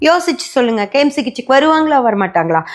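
A woman speaks in a high voice. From Coimbatore, Tamil Nadu. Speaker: astrologer and YouTube host. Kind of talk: solo vlog monologue.

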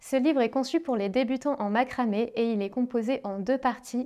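A woman's high-pitched voice, dark and mellow in tone, with fairly even intonation over a quiet background. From northern France, Dunkirk; France. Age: 30s. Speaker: craft artist and author; creator. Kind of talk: book presentation. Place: studio. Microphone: lapel.

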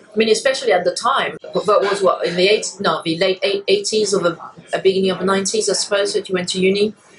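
A woman speaks at a very fast pace. There is light background noise. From France. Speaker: lawyer and podcast host. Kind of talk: interview conversation.

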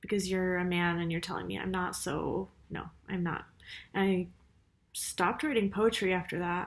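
The delivery keeps a fairly even intonation, broken by long, frequent pauses. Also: woman, moderate pace. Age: 30s. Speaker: writer and university teacher. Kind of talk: casual vlog monologue. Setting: university office. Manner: hesitant, many fillers. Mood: reflective, personal. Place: home room. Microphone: webcam.

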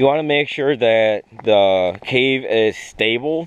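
Recorded with a dry sound and no echo, a man talks with ordinary pitch variation. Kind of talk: tutorial. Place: open country. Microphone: phone near.

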